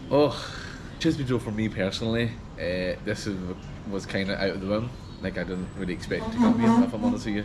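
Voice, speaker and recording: A man with a Scottish accent speaks at a fairly quick pace. Noticeable background noise and audible room echo fill the recording. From Scotland, Glasgow. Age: 30s. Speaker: gas engineer on a pilgrimage tour. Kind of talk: testimonial interview. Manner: casual, hesitant with fillers.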